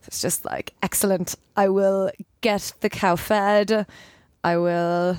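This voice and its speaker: A woman speaks at a very slow pace in a medium pitch, her intonation monotone and flat. The recording is very clean with a silent background, and the sound is dry and close with no echo. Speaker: author and editor. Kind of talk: casual interview chat.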